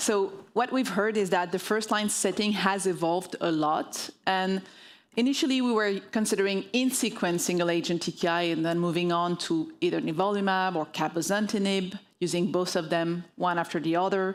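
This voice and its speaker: A woman with a French accent speaks at medium pitch and a moderate pace, with ordinary pitch variation and very even loudness, on a very clean recording with a silent background. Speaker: oncologist. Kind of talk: medical conference talk. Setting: stage with audience.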